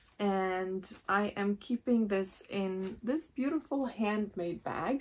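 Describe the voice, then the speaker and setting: A woman with a non-native accent, medium pitch and ordinary pitch variation, in a quiet background. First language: not English. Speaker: knitting podcaster. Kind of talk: casual show-and-tell podcast. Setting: home knitting room. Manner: relaxed, chatty with fillers.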